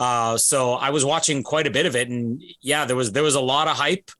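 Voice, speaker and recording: In a very clean recording with a silent background, a man with a Canadian accent talks at a fairly quick pace in a bright, sharp tone. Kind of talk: casual chat.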